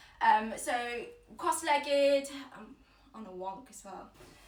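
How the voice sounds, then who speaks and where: A woman talks fairly slowly, her pitch varying in an ordinary way, with audible echo from the room. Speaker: yoga teacher. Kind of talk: guided yoga class. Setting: at home, Instagram live stream. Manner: loud, projected.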